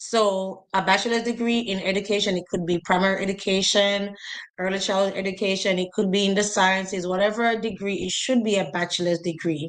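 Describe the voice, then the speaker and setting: A woman's fairly quick speech in a Jamaican accent with monotone, flat intonation. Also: medium pitch for a woman. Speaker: educator, teacher recruitment advisor. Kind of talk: instructional talk in interview. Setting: live stream video call.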